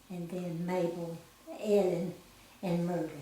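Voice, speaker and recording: In a room with audible echo and noticeable background noise, a woman with an Appalachian accent speaks at a fairly slow pace, her fairly low pitch held in a monotone, flat intonation. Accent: Southern US, Appalachian. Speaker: grandmother sharing life story. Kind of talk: oral history interview. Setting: at a house in the mountains.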